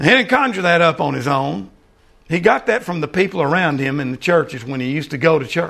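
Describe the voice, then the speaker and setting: A man speaks at a fairly quick pace with lively intonation and a fairly high pitch. His tone is bright and sharp, with some vocal fry. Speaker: preacher. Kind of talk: sermon. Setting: church.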